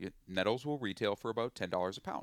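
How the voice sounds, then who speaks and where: An Upper Midwest accent in a very clean recording with a silent background, dry and close with no echo. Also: man. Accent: Upper Midwest American. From western Minnesota. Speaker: chef and forager. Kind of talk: interview. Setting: outdoors by the water.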